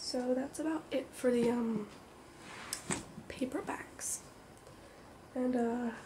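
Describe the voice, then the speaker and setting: A soft-spoken woman talks very slowly in a high voice with a relaxed tone and long, frequent pauses. Noticeable background noise runs under the recording. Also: fairly even intonation. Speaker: ASMR video creator. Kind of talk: ASMR soft-spoken talk to camera about comics. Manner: soft-spoken, relaxed.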